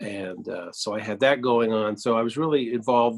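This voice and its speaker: A man talks at a medium pitch in a dry, close sound with no echo. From US Midwest, Cedar Rapids, Iowa. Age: 60s. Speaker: composer. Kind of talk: interview. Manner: halting, many fillers.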